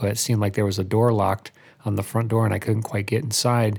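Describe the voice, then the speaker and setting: A man's fairly low, somewhat breathy voice with an American accent and monotone, flat intonation, on a very clean recording with a silent background. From Albany, New York, US. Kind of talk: casual chat.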